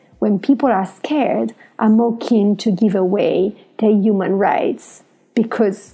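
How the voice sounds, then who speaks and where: A woman with an Italian accent talks at a very slow pace and medium pitch. Her voice is somewhat breathy with a dark, mellow tone and fairly even intonation. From Italy. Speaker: podcast host. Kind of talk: solo podcast monologue. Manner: halting.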